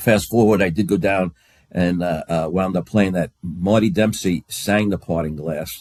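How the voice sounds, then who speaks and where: With a New York accent, a man speaks at a very deep, low pitch and a fairly slow pace, his intonation fairly even and the sound dry and close with no echo. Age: 70s. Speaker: bagpiper. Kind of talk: casual chat. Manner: halting.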